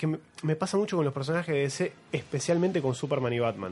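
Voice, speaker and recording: A man talks at a fairly quick pace in a plain, everyday voice. His pitch sits fairly high, and his intonation is lively. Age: 30s. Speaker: podcast host. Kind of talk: casual chat.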